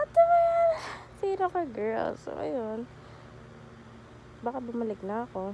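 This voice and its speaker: A woman speaks with very wide pitch swings and long, frequent pauses. Noticeable background noise runs underneath. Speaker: vlogger. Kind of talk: casual vlog talk. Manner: halting, self-correcting.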